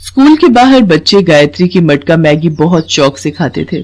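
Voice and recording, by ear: The voice has big pitch swings and a slightly mellow tone. It keeps a moderate pace. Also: woman.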